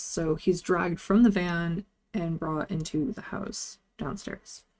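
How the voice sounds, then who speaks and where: Fairly low pitch and ordinary pitch variation in a woman's voice, an ordinary speaking voice. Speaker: vtuber movie reviewer. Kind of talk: casual movie review talk to camera.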